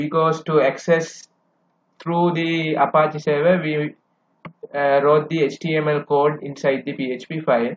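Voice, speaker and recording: Speaking at a fairly slow pace, a man uses a fairly high voice. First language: not English. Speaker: coding tutor. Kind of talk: tutorial. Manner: halting.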